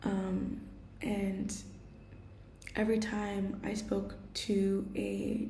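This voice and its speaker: Audible room echo and noticeable background noise fill the clip. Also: woman. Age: 20s. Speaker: vlogger and art student. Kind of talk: personal vlog. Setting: kitchen at home. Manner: casual, hesitant.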